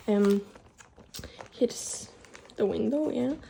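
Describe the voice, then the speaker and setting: Through noticeable background noise, a woman talks at a fairly slow pace and fairly high pitch. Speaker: artist sharing sketchbook. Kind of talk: casual chat. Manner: halting; sounds close to tears.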